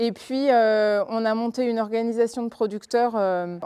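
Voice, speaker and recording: A woman speaks fairly slowly at a fairly high pitch with a dark, mellow tone, in a dry, close sound with no echo. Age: 30s. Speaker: cattle farmer. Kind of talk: testimony. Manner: hesitant, many fillers.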